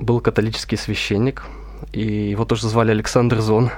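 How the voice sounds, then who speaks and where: The man speaks at a moderate pace. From Russia, Veliky Novgorod. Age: 20s. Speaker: seminarian. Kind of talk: radio interview.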